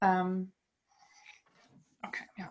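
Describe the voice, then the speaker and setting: With a German accent, a woman talks at a medium pitch. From Germany. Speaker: psychologist. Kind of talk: lecture. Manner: hesitant, many fillers.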